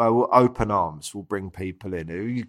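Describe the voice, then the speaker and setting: In a London accent, the speaker keeps a moderate pace with ordinary pitch variation. The recording is very clean, with a silent background. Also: man. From Southeast London. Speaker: chef. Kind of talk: casual chat.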